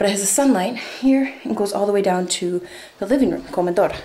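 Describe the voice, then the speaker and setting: Fairly quick, lively speech amid audible room echo and noticeable background noise. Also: woman. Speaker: traveler vlogger on a farm stay. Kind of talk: casual vlog house tour. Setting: indoors, walking through a house. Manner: hesitant, many fillers.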